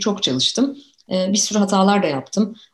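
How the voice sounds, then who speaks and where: At a moderate pace, a woman talks in a medium-pitched, somewhat breathy voice. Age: 40s. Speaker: youth researcher and author. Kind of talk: interview.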